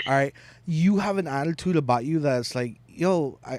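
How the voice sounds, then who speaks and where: This man's voice is fairly high-pitched and animated, with ordinary pitch variation. The recording is very clean, with a silent background. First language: not English. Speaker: podcast host living with HS. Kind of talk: casual interview chat. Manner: animated, jumps between topics.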